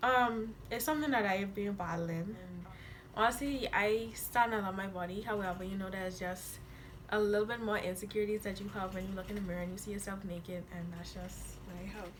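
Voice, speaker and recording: Fairly quick and fairly even in intonation, a woman speaks in a medium pitch with audible room echo around her. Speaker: YouTuber. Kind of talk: casual chat. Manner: hard to understand when comfortable.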